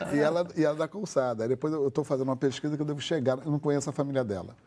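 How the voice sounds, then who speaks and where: His voice is a man's, dark and mellow in tone. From Brazil, Rio de Janeiro. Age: 70s. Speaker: activist and religious scholar. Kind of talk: talk show interview. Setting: TV studio.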